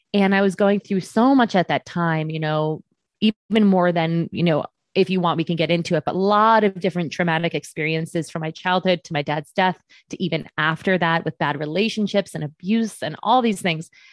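A woman has an unremarkable speaking voice at a fairly low pitch, with ordinary pitch variation and a fairly quick pace. The sound is dry and close with no echo, over a quiet background. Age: 30s. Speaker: fitness trainer and transformational coach. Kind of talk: casual interview chat.

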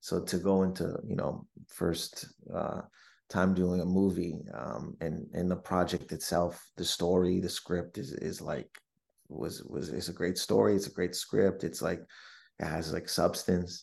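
A man speaks with a very deep, low pitch and vocal fry. The background is quiet. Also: ordinary pitch variation, fairly slow pace. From Windsor, Ontario, Canada. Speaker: stand-up comedian and actor. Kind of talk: casual interview.

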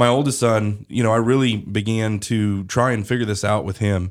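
A man with an ordinary speaking voice talks at a moderate pace with a fairly low pitch. His intonation is fairly even on a very clean recording with a silent background. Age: 30s. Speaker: podcast host and news CEO. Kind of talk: interview podcast host; promotional announcement. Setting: studio.

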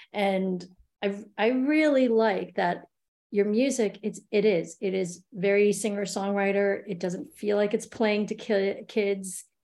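A woman's medium-pitched, dark and mellow voice with a New York accent, fairly even intonation and a fairly slow pace. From New York City. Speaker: podcast co-host. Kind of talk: casual chat.

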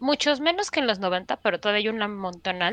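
A woman with a Mexican accent, bright, sharp tone and lively intonation, the sound dry and close with no echo against a quiet background. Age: 40s. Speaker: podcast host. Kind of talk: casual chat.

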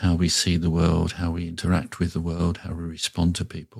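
At a moderate pace, a man speaks with a very deep, low pitch. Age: 60s. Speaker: Buddhist teacher. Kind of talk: reflective interview conversation. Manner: hesitant, thoughtful, many fillers.

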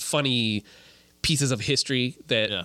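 Dry and close with no echo, this recording has a man with an American accent. He holds a medium pitch with fairly even intonation. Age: 20s. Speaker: video producer. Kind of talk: casual chat.

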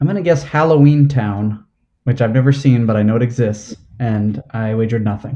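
Speaking at a fairly quick pace, a man uses a medium-pitched, somewhat breathy voice with a dark, mellow tone and ordinary pitch variation. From New Jersey. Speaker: trivia host, quiz contestant. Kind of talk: quiz game play over video call. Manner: halting, many fillers.

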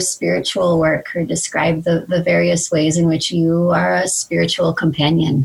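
This woman has a fairly low pitch and a somewhat breathy voice. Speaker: podcast interviewer. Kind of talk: interview.

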